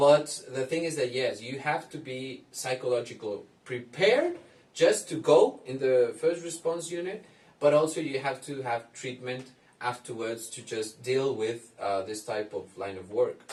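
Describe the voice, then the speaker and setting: The speaker has a Spanish accent and a fairly slow pace. Pitch varies in an ordinary way, while loudness swings widely. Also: man, medium pitch for a man. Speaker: psychologist. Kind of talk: commentary reacting to a video. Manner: halting.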